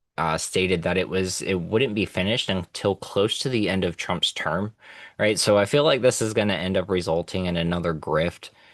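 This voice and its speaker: Against a quiet background, a man talks at a moderate pace with a very deep, low pitch and ordinary pitch variation. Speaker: political podcast host. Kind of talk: news commentary podcast. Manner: stammering repetitions; animated.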